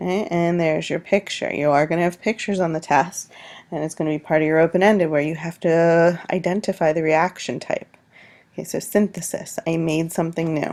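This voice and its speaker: A plain, everyday voice moves at a fairly quick pace. Its intonation is fairly even, and the recording is very clean with a silent background. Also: woman, fairly low pitch for a woman. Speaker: high school science teacher. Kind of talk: recorded test review lecture.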